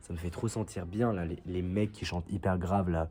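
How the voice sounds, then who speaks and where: Here a man speaks with a very deep, low pitch and a somewhat breathy quality. His intonation stays fairly even. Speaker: vlogger. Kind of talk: casual vlog.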